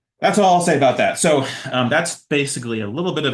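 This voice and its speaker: Amid audible room echo, a man talks at a very fast pace with lively intonation. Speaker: researcher and featured workshop speaker. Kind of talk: online lecture. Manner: many fillers, uh and um.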